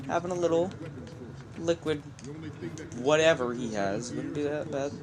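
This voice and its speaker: Quiet speech at a moderate pace with noticeable background noise. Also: man, fairly high pitch for a man, ordinary pitch variation. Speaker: let's play gamer. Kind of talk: gameplay commentary. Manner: casual, reactive.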